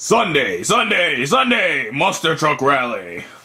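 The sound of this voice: In a put-on character voice, a man talks at a fairly slow pace with a high pitch.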